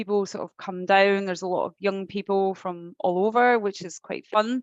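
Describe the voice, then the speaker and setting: In a Scottish accent, a woman talks at a medium pitch with fairly even intonation, the sound dry and close with no echo. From Scotland, Glasgow. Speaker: alcohol-free lifestyle coach. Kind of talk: interview conversation.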